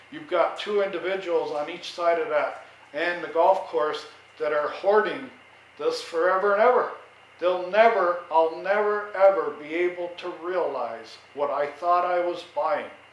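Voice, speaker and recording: A man with an American accent speaks at a fairly slow pace in a high pitch with ordinary pitch variation. Noticeable background noise and audible room echo fill the recording. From New York. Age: 70s. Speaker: vlogger, retired veteran homeowner. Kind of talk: casual monologue. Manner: loud.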